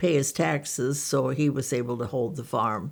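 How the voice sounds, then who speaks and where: The recording is very clean, with a silent background. A woman with an American accent and vocal fry speaks at a moderate pace. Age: 80s+. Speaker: life-long church member. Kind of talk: interview.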